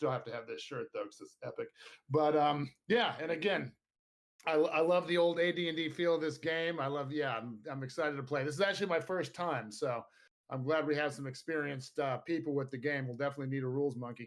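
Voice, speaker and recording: Speaking at a very fast pace, a man with an American accent uses a fairly high pitch with ordinary pitch variation. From Southern California, US. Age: 50s. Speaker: tabletop game player. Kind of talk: casual chat.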